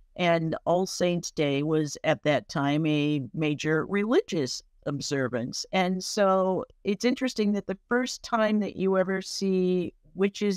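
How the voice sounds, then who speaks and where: A woman at a very slow pace with lively intonation, dry sound with no echo and a quiet background. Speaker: presenter. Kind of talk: informal history talk. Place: home room. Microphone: webcam.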